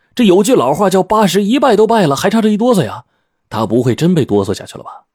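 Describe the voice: Putting on a character voice, a man talks fast and high, with big pitch swings, a slightly husky edge and a slightly mellow tone. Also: very clean recording, silent background.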